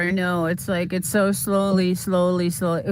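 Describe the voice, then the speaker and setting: At a fairly slow pace, a woman talks in a medium-pitched voice. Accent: slight Boston. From Boston, US East Coast. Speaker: YouTuber livestreamer. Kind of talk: casual livestream chat. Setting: outdoors, walking on property. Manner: halting.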